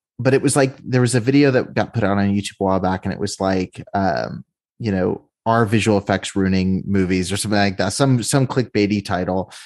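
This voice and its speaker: In a quiet background, a man with an unremarkable speaking voice talks at a fairly quick pace with hardly any pauses and ordinary pitch variation. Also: fairly low pitch for a man. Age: 20s. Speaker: podcast host. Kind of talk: interview; scripted intro.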